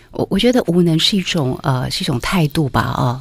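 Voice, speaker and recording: With lively intonation, a woman talks at a fairly quick pace. Noticeable background noise sits behind her. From Taiwan, Taipei. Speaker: food writer. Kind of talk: interview.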